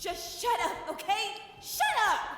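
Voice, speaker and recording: A shouted, put-on character voice at extremely high pitch, with clear echo. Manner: shouting.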